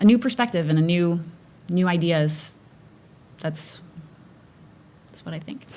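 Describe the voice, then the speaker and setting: The woman talks with ordinary pitch variation. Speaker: school board candidate. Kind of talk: candidate forum answers. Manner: loud.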